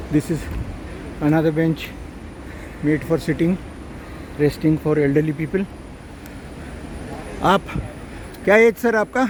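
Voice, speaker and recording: Noticeable background noise runs under speech at a moderate pace, broken by long, frequent pauses. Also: man, fairly high pitch for a man, ordinary pitch variation. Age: 70s. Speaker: travel vlogger. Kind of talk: travel vlog narration. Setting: outdoors.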